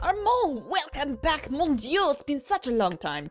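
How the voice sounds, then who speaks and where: Someone uses a put-on character voice at a moderate pace, with faint music in the background. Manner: warm, welcoming.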